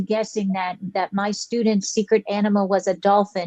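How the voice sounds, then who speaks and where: A woman with a dark, mellow tone speaks fairly quickly at a medium pitch in a monotone with flat intonation, the sound dry and close with no echo. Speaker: teacher. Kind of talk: casual chat.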